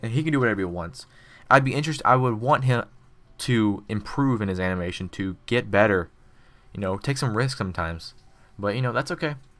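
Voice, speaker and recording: A man at medium pitch, fairly quick pace with long, frequent pauses, lively intonation, and a very clean recording with a silent background. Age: 20s. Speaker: animation streamer and college student. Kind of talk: casual live-stream chat with viewer Q&A. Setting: home live stream at computer. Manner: relaxed, laid-back.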